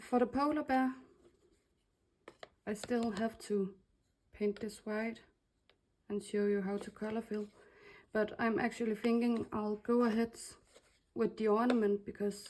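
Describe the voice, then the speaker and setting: A woman with a Danish accent speaks at a fairly slow pace, her pitch fairly high and her intonation monotone and flat. She leaves long, frequent pauses. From Denmark. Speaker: crafter / laser designer. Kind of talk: tutorial. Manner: casual, with hesitations.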